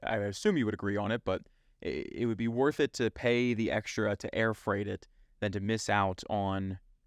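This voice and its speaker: A man speaks at a fairly low pitch with a Philadelphia accent and fairly even intonation. His pace is moderate, and the sound is dry and close with no echo against a quiet background. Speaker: Amazon seller podcast co-host. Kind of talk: casual podcast chat.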